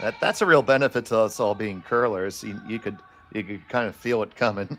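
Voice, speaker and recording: Someone with an American accent speaks at a fairly quick pace, with ordinary pitch variation and noticeable background noise. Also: man, fairly low pitch for a man. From Philadelphia, US. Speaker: curling commentator. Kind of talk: live sports commentary.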